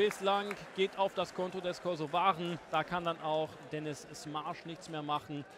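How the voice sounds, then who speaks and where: A man's high voice, animated and upbeat, at a fairly slow pace. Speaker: football commentator. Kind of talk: live-style football match commentary over highlights, recapping chances and goals. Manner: animated, urgent bursts on chances ("Tempo! Tempo!"), otherwise fluent and upbeat.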